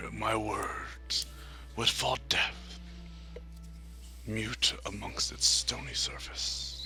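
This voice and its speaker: With clear music in the background, a man puts on a character voice at a very slow pace, leaving long, frequent pauses. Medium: actual play. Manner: slow, solemn.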